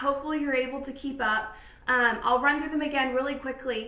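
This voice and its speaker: A raised, projected voice with a bright, sharp tone moves at a fairly quick pace with fairly even intonation amid audible room echo. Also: woman. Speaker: lifestyle vlogger. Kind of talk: casual tutorial. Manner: fast.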